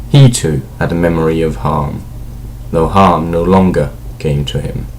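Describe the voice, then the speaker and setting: A man's very deep, low voice at a moderate pace over noticeable background noise. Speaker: amateur audiobook reader. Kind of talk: fantasy novel read aloud.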